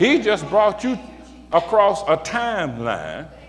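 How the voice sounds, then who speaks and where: High-pitched and animated, a man speaks over noticeable background noise. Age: 60s. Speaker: pastor. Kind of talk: sermon. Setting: church.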